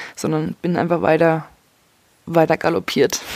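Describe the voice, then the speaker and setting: A woman with an ordinary speaking voice, fairly low in pitch, at a moderate pace, in a dry, close sound with no echo. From Leipzig, Saxony. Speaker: podcaster. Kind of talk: personal monologue.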